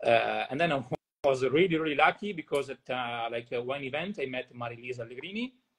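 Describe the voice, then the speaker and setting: Speaking at a very fast pace with ordinary pitch variation, a man talks in an Italian accent. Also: medium pitch for a man. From northern Italy, Verona. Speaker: winemaker. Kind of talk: interview.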